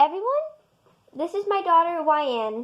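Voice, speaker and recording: Putting on a squeaky character voice, a woman talks at a moderate pace with an extremely high pitch and very wide pitch swings. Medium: read story. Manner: bored.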